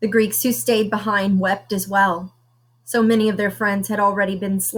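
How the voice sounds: This clip features a natural reading voice.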